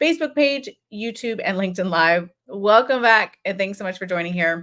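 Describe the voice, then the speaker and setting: A woman's medium-pitched voice with an American accent and lively intonation, on a very clean recording with a silent background. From Florida. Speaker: psychologist hosting a live show. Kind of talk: live stream monologue. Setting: live stream. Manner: fast.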